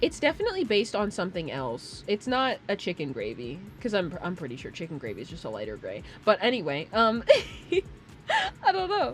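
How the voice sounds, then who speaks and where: A woman speaks at a fairly quick pace with big swings in loudness. Noticeable background noise runs behind her. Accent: American. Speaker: streamer. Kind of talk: casual chat.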